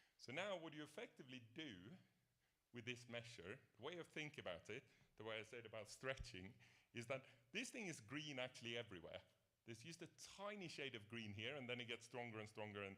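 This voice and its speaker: A man speaks loudly at a fairly quick pace and medium pitch, with lively intonation. His tone is bright and sharp, broken by long, frequent pauses. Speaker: professor. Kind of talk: lecture.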